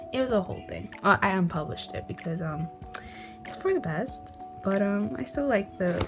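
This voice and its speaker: Moderately paced female speech over background music. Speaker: artist. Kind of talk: casual talk to camera.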